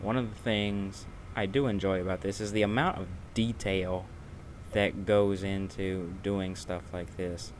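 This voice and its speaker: A man with a fairly low voice speaks at a very slow pace in a relaxed tone with fairly even intonation. Audible room echo surrounds his voice. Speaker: gaming streamer. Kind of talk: live gameplay commentary. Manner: casual, relaxed.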